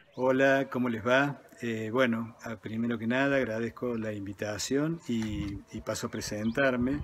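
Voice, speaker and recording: Over noticeable background noise, a man speaks at a medium pitch and a fairly slow pace, with fairly even intonation and hardly any pauses. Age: 60s. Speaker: architect and professor, former scout. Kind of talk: personal reminiscence.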